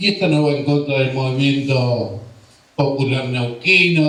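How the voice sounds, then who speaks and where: A man's fairly high voice, with audible room echo and noticeable background noise. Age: 60s. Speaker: political speaker. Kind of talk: political speech. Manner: impassioned.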